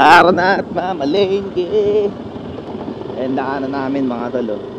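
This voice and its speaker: The speaker's intonation is lively and the pace fairly slow, with noticeable background noise and audible room echo. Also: man, fairly high pitch for a man. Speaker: motovlogger. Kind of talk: casual vlog narration. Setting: riding pillion on a motorcycle on a bumpy road.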